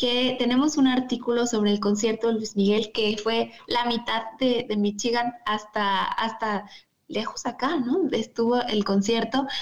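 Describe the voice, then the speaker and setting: A woman speaks with a Mexico City accent at a fairly high pitch. Her intonation stays fairly even. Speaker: magazine contributor and yoga instructor. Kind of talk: casual chat.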